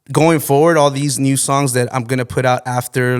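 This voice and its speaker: Recorded very cleanly over a silent background, a man talks at a moderate pace. His pitch is medium and his intonation fairly even. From Texas, Mexican-American. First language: Spanish. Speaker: singer and rapper. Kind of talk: casual podcast interview.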